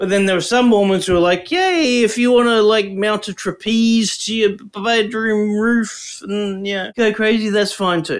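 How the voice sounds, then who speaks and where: Here a man talks with an Australian accent at a fairly slow pace. His pitch is high and his intonation fairly even. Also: hardly any pauses. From Brisbane, Australia. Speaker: podcast co-host. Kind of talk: casual chat.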